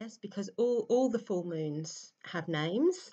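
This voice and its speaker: Against a quiet background, a woman speaks in a calm tone at a fairly slow pace. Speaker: meditation teacher. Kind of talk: guided meditation. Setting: voice only, no background music. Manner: slow, calm. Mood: warm, chatty intro. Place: home room. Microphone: webcam.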